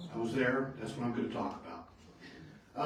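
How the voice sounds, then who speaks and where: A man speaks with audible room echo. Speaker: retired air traffic controller giving a talk. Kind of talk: public talk to local society. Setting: meeting room with audience. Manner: loud.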